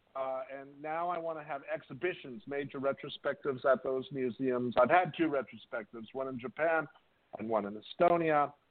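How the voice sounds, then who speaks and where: This man has a normal speaking voice. He talks at a moderate pace. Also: fairly high pitch for a man, ordinary pitch variation. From US West Coast, Whittier, California. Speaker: artist and composer. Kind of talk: interview.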